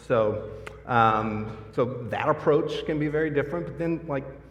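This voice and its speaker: With an American accent, a man talks amid noticeable background noise and audible room echo. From US. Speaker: product marketing director, panelist. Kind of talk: conference panel discussion.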